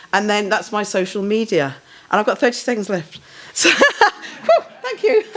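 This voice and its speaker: A woman's delivery keeps a moderate pace. Behind her, noticeable background noise is present. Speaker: professor. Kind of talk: Q&A answer; lecture.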